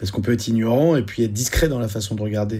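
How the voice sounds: Using vocal fry, a man talks fast in a dark, mellow tone with ordinary pitch variation.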